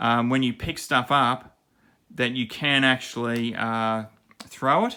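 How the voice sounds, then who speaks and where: On a very clean recording with a silent background, a man with an Australian accent speaks at a medium pitch in a bright, sharp tone. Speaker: miniature game designer and channel host. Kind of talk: tutorial. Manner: halting, many fillers and self-corrections; casual, impromptu.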